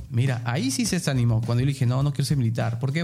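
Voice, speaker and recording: A man's medium-pitched, fairly even voice comes through as music plays in the background. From Peruvian provinces. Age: 30s. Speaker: tourism lecturer. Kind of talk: interview.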